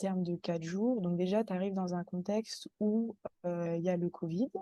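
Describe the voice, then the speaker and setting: A woman's dark, mellow voice at a medium pitch and fairly slow pace, dry and close with no echo. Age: 30s. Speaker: guest, mother sharing birth story. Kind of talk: testimony.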